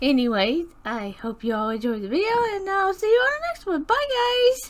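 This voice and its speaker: A woman uses a put-on character voice at an extremely high pitch. She talks at a fairly quick pace with very wide pitch swings. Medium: voice reel. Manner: cheerful, exclaims often.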